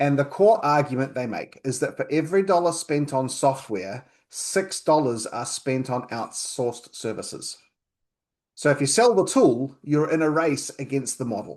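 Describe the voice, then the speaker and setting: Lively intonation from a man with a New Zealand accent, fairly high in pitch, at a moderate pace. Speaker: accountant. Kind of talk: webinar presentation.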